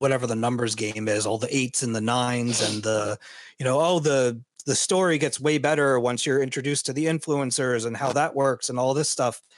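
A man with a normal speaking voice, medium pitch and ordinary pitch variation at a moderate pace, in a very clean recording with a silent background. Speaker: video game podcast co-host. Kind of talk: casual chat.

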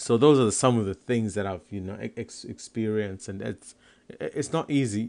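A man's fairly low voice at a fairly quick pace against a quiet background. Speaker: comedian and podcaster. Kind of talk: casual monologue podcast.

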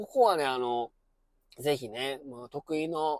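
This man speaks with a Kansai accent at a fairly high pitch. The sound is dry and close, with no echo. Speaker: former high school science teacher, podcaster. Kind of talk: casual monologue commentary. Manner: filler-heavy, conversational.

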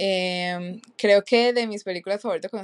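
It is a plain, everyday voice with fairly even intonation. The sound is dry and close, with no echo. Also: woman. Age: 20s. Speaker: podcast co-host. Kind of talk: casual chat.

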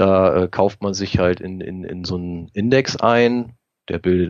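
A man speaks in a very deep, low voice. His pace is fairly slow. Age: 40s. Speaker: private investor and technician. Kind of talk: interview.

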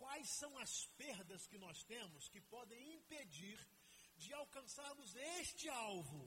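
In a room with audible echo, a man with an extremely high pitch talks at a very slow pace, his raised, projected voice swinging very widely in pitch. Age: 50s. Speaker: pastor. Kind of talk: sermon.

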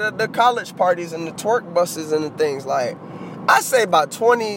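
A man's animated tone swings very widely in pitch while noticeable background noise carries on. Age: 20s. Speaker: podcast host. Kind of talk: casual solo podcast monologue.

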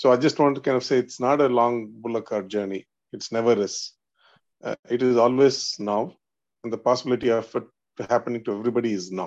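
A man with an Indian accent speaks at a very fast pace against a quiet background. His pitch is medium with fairly even intonation. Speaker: spiritual seeker in study group. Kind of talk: religious study discussion.

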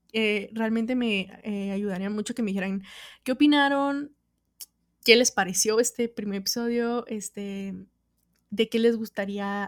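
The recording is very clean with a silent background. A woman talks at a fairly slow pace and a fairly high pitch. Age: 20s. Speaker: podcaster. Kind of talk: casual solo monologue. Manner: animated.

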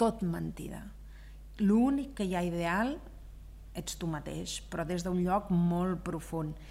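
At a very slow pace, a woman with a fairly low pitch and a dark, mellow tone speaks amid audible room echo. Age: 50s. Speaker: business owner. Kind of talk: interview. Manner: loud; animated.

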